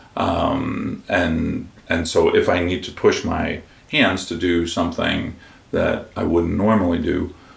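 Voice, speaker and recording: Amid noticeable background noise and audible room echo, a man speaks at a very slow pace. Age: 60s. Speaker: guitarist and composer. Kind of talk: interview.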